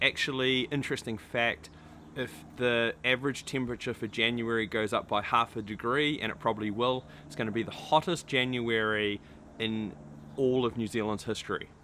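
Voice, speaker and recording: Fairly even intonation at a moderate pace, with light background noise. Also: man. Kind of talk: casual vlog chat. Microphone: phone near.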